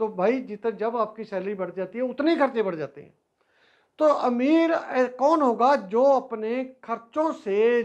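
A man talks at a very slow pace. His pitch is extremely high. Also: quiet background. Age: 60s. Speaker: personal finance YouTuber; teacher. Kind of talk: advice talk to camera; lecture. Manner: conversational, halting. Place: classroom. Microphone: lapel.

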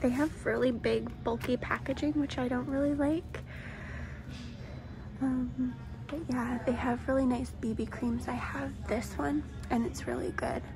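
Soft-spoken and relaxed in tone, a woman talks at a fairly slow pace with long, frequent pauses amid noticeable background noise. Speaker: ASMR vlogger. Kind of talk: ASMR store walkthrough. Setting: inside a store. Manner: relaxed, casual. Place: shop.

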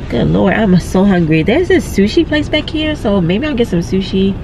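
Against noticeable background noise, a woman talks at a moderate pace with a dry sound and no echo. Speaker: vlogger. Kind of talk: casual vlog chat. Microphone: phone near.

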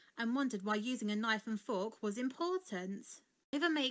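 Someone does plain reading aloud.

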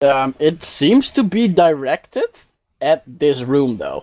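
Speaking at a slow pace, a man with a fairly high pitch and a slightly mellow tone makes big pitch swings.

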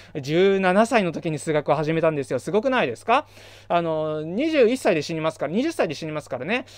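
With lively intonation at a fairly quick pace, a man speaks in a fairly high pitch, the sound dry with no echo. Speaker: math education YouTuber. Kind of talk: solo lecture-style talk. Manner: fast. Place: home room. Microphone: studio mic.

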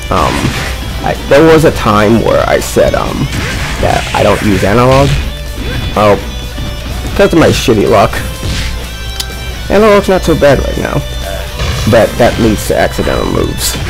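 Long, frequent pauses over clear music in the background. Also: moderate pace. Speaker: gamer commentator. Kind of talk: casual gameplay commentary. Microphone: headset.

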